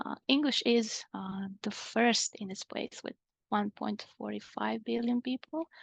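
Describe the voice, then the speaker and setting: Against a quiet background, a woman talks with a Croatian accent. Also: dry, close sound with no echo. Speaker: iOS developer and conference speaker. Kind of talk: conference-style talk. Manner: hesitant, many fillers.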